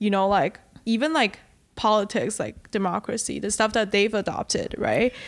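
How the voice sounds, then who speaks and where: Using vocal fry, a woman speaks at a fairly high pitch and a moderate pace. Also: ordinary pitch variation. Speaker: podcast co-host. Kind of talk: casual chat.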